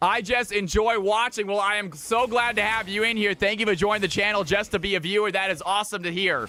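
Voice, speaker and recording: A man talks at a very fast pace in a raised, projected voice, his tone animated and his pitch high with ordinary variation. Noticeable background noise is present. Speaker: streamer and shoutcaster. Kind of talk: live esports commentary. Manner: loud, yelling; fast, animated.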